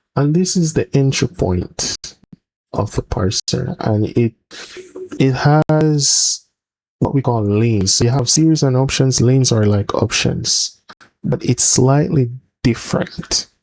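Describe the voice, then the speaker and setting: A man at medium pitch, with a fairly slow pace, ordinary pitch variation, very even loudness, and a dry, close sound with no echo. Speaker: software developer. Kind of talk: tutorial. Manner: halting.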